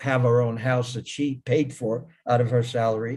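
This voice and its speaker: A man's somewhat breathy, medium-pitched voice at a moderate pace with fairly even intonation. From Israel. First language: Hebrew. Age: 70s. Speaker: ecological project founder. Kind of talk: online talk. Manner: halting, many repetitions.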